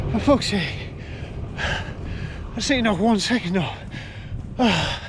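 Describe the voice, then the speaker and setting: There is audible room echo and noticeable background noise around this man. He speaks at a very slow pace in a high pitch with ordinary pitch variation. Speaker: vlogger, amateur triathlete. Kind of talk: casual vlog to camera.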